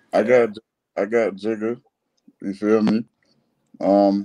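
With a dark, mellow tone and a fairly low pitch, a man speaks in a flat monotone at a fairly slow pace, leaving long, frequent pauses. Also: quiet background. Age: 30s. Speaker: rapper. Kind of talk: casual chat. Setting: studio. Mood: relaxed, casual storytelling. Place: home room. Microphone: video call.

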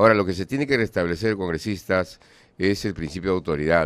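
A man with a very deep, low pitch and ordinary pitch variation, in a dry sound with no echo. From Peru. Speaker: radio host. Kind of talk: radio interview. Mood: firm, indignant. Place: studio. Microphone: studio mic.

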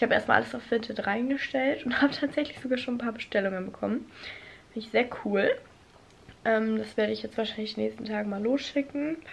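Her pitch moves in an ordinary way. The woman keeps a fairly quick pace. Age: 20s. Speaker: vlogger and university student; vlogger. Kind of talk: casual vlog monologue. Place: home room. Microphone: phone near.

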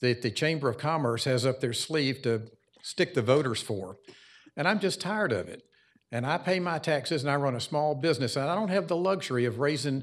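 A fairly high-pitched man with a Southern US accent, lively intonation and a fairly quick pace, against a quiet background. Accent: Southern US (Georgia). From US South, Cobb County, Georgia. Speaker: small business owner speaking as resident. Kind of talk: public hearing comment.

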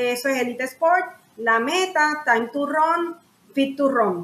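There is an audible echo from the room. A woman speaks through it. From Puerto Rico, raised in San Juan; Puerto Rico. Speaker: lawyer, pastor and coach running an adaptive sports foundation; podcast guest. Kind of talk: interview. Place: home room.

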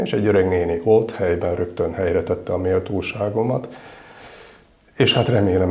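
A man speaks in a very deep, low voice. His pace is fairly quick and his intonation fairly even. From northern Hungary (Miskolc); Hungary. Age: 50s. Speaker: military chaplain. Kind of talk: interview. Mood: warm, reflective, smiling. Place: home room.

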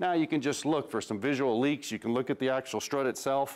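The man's pitch shifts an ordinary amount. He talks fairly quickly. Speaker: automotive TV host. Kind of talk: tutorial. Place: garage.

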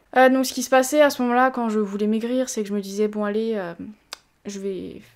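A woman's voice moves at a moderate pace, its pitch varying in an ordinary way, with a quiet background. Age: 20s. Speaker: fitness youtuber. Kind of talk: personal testimony. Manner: hesitant. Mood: calm, reflective, serious. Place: home room.

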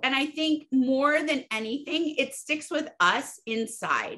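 A raised, projected voice with a bright, sharp tone comes at a fairly slow pace with ordinary pitch variation over a quiet background. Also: woman. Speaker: interview guest. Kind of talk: interview answer. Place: home room. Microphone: video call.

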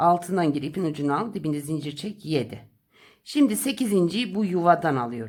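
A woman speaks at a fairly low pitch with very wide swings. The recording is very clean, with a silent background. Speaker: crochet tutorial host. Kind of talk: tutorial. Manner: slow counting instructions.

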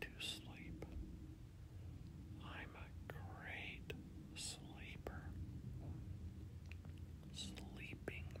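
Whispering in a calm tone, the speaker goes at a very slow pace. There is noticeable background noise. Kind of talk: sleep affirmation whisper. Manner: whispered, slow, calm.

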